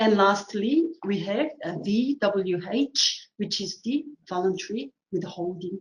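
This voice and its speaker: A woman's somewhat breathy, medium-pitched voice carries lively intonation. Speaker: assessor running a training webinar. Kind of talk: tutorial webinar. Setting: online webinar with screen share.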